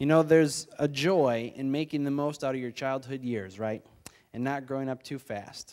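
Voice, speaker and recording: The background stays quiet. Against it, a man's speech moves at a moderate pace, its pitch varying in an ordinary way. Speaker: preacher or church leader. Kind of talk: sermon. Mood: calm, reflective. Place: church. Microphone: handheld.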